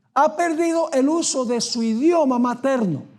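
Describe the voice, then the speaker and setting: Audible room echo surrounds a man who speaks at a very slow pace with lively intonation. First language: not Spanish (learned Spanish) (speaking Spanish). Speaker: pastor. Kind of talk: sermon. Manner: animated.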